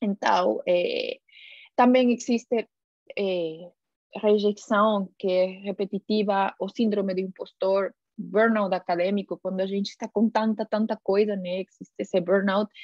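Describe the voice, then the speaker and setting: A woman speaks with a Spanish accent at a fairly slow pace. Her medium-pitched voice stays monotone and flat. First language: Spanish (speaking Portuguese). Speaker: scientist and guest lecturer. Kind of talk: lecture. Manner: halting, many filler sounds.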